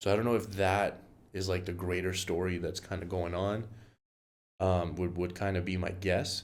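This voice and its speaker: This man's voice is very deep and low, with a monotone, flat intonation. Audible room echo surrounds it. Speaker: music reaction youtuber. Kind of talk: casual reaction commentary. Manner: hesitant, filler-heavy.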